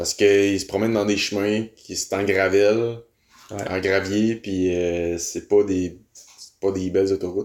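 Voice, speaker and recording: Delivered at a very slow pace, the speech has monotone, flat intonation. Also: man, fairly low pitch for a man. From Quebec City. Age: 20s. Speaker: French-Canadian guest. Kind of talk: casual chat.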